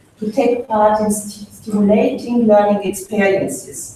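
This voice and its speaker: A woman with a strong French accent at a moderate pace, amid audible room echo and noticeable background noise. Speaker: funding agency official. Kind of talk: conference speech. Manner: halting, many fillers.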